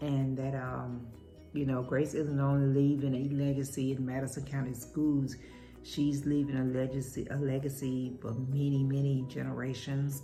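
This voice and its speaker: A woman's very deep, low voice in a monotone with flat intonation, with music in the background. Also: moderate pace. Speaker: cooking and talk channel host. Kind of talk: casual talk to camera.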